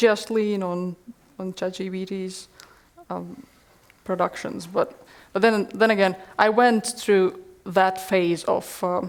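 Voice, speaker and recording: A woman with a Latvian accent, medium pitch, very slow pace and monotone, flat intonation. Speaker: workshop presenter; presenter. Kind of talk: answering audience question. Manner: halting, repeats words. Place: classroom. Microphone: headset.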